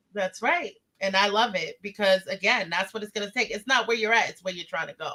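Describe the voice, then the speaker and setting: A woman speaks loudly and at a fairly quick pace, her voice animated and bright with a sharp edge, set at a medium pitch with ordinary pitch variation. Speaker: interview show host. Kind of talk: casual interview.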